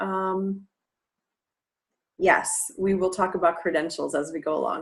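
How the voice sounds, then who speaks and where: A woman with a Midwestern American accent, medium pitch and a fairly slow pace. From US Midwest, Cleveland, Ohio. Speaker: English teacher trainer. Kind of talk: online webinar presentation. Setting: online live class. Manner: casual, with frequent fillers.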